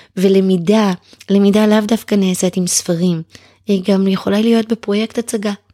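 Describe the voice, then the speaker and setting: A woman speaks in a dark, mellow voice with monotone, flat intonation at a moderate pace. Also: medium pitch for a woman, very even loudness, dry, close sound with no echo. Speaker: writer and former homeschooling mother. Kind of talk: casual chat.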